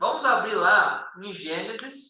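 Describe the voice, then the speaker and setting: A man speaks in a raised, projected voice. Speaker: Bible study teacher. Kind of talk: Bible study lesson.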